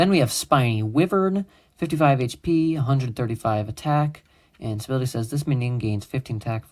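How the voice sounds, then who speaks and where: Over a silent background on a very clean recording, a man talks at a fairly quick pace with lively intonation. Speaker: YouTuber showing his homemade card game. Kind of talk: casual card game walkthrough. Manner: fast; casual with many fillers.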